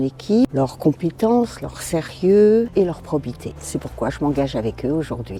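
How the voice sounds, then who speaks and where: Over noticeable background noise, a woman with a very deep, low voice speaks at a fairly slow pace with lively intonation. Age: 70s. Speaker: retired social worker, election candidate. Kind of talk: campaign video statement. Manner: slightly hesitant, with fillers.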